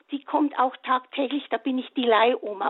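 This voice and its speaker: Pitched high, a woman speaks at a fairly slow pace. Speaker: caller, retired kindergarten teacher. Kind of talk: phone-in testimony.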